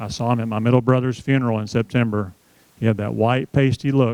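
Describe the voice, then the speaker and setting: Here a man with a Southern US accent talks at a medium pitch and a fairly quick pace. The intonation is fairly even, and the sound is dry and close with no echo. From US South, Tennessee. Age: 60s. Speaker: seminar speaker on aging. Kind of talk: seminar talk. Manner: conversational, addresses audience directly.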